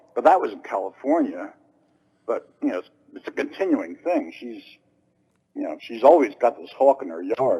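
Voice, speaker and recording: Loudness swings widely as a man speaks in an American accent at a moderate pace. He leaves long, frequent pauses. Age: 60s. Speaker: caller. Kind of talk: casual chat.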